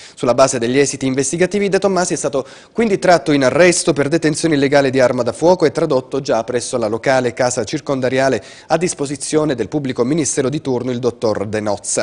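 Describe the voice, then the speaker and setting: The pace of this man's speech is very fast. Its pitch shifts in an ordinary way. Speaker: news anchor. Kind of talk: news reading. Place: studio.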